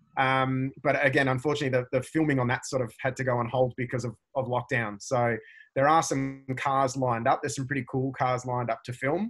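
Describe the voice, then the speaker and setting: Over a very clean recording with a silent background, a man talks at a fairly quick pace in a medium pitch with monotone, flat intonation. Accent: Australian. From Australia, Melbourne. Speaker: driving instructor and car video creator. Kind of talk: interview.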